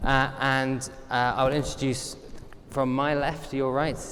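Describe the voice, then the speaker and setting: Noticeable background noise and audible room echo around a man's mid-range voice. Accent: British. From Britain. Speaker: panel moderator. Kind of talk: moderated panel discussion.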